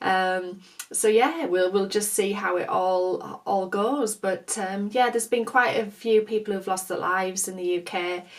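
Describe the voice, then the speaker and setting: Over noticeable background noise, a woman with a northern English accent speaks fairly slowly with hardly any pauses and fairly even intonation. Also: medium pitch for a woman. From northern England. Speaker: craft vlogger. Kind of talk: casual chat.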